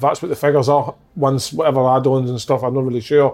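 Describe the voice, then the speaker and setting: A man with a Scottish accent talks at a very fast pace. His voice is fairly high, with a dark, mellow tone. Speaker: ex-footballer podcast host. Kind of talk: casual chat.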